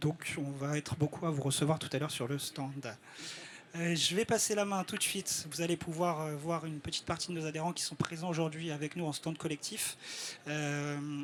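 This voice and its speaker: Fairly even intonation and moderate pacing in a man's fairly high voice. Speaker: network coordinator presenting at a trade summit. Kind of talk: live presentation to an audience. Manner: halting, frequent hesitations.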